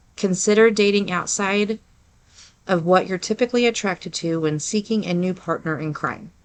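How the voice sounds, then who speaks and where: A woman with an Ohio accent speaks with ordinary pitch variation. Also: medium pitch for a woman, moderate pace. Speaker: paranormal podcast host. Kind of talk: reading aloud.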